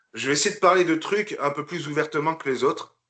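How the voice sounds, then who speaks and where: The man's voice has a bright, sharp tone. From northern France (Picardy). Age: 40s. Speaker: bodybuilder, retired military. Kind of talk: podcast interview. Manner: hesitant, many fillers.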